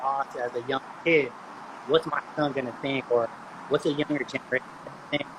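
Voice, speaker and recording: A man talks at a moderate pace with fairly even intonation. Noticeable background noise is present. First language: Spanish. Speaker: podcast guest. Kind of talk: casual chat. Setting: live video call.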